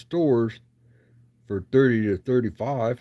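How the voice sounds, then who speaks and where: Mumbling in a dark, mellow tone, a man at medium pitch speaks with lively intonation. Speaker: card collector livestreamer. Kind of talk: casual chat. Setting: livestream.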